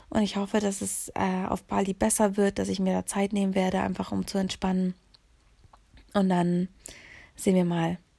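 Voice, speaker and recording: The voice has a dark, mellow tone and a flat, monotone delivery at a moderate pace. Long pauses come often, and the recording is very clean with a silent background. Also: woman, medium pitch for a woman. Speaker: podcast host. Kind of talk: solo monologue. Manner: casual, with many filler sounds.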